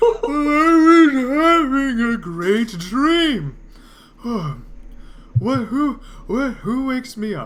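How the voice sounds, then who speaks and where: A put-on character voice speaks high and very slowly. Long pauses come often. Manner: sleepy, groggy.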